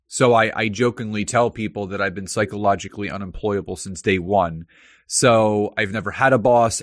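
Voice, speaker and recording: A man with a normal speaking voice talks at a fairly low pitch with fairly even intonation. The background is quiet. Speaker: LinkedIn marketing consultant. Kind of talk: interview.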